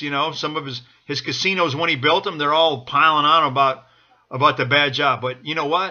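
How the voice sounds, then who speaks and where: A man talks at a moderate pace and a fairly high pitch. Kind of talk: political get-out-the-vote speech to camera. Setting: home, speaking directly to the camera. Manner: urgent, enthusiastic, exhorting.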